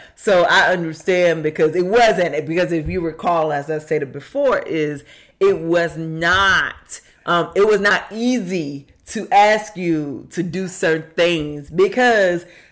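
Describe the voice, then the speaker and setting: Speaking very slowly, a woman with a fairly low voice uses ordinary pitch variation. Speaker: podcast co-host with her husband. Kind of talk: casual chat. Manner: loud.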